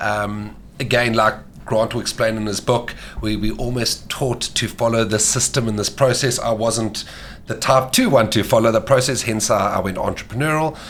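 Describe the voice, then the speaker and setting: A man talks at medium pitch and a moderate pace while noticeable background noise plays behind him. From Mauritius. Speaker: sports dietitian. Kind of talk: podcast interview. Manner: animated.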